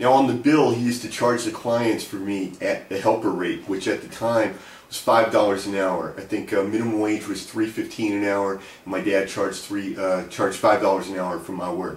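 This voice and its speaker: A man with an American accent uses a normal speaking voice at a fairly low pitch with fairly even intonation. He keeps a moderate pace with hardly any pauses. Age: 50s. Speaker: economics academic and author. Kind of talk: personal storytelling to camera. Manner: casual, conversational.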